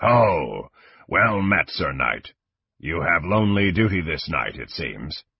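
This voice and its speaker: In a put-on character voice, a man booms at a fairly slow pace, his fairly low pitch coming out raspy. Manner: gruff, mocking greeting.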